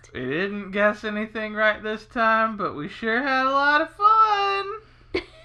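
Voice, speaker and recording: A female-sounding, put-on character voice sits at a fairly high pitch. It moves at a fairly slow pace with hardly any pauses. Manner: sour, off-key tone.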